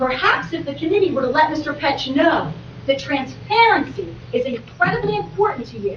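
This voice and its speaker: Amid noticeable background noise and audible room echo, a woman talks at a moderate pace in a high pitch that swings very widely. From New Jersey, Gloucester County. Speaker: public commenter at township meeting. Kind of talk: public comment at council meeting. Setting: public meeting with audience, PA microphones. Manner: animated. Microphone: poor meeting microphone system.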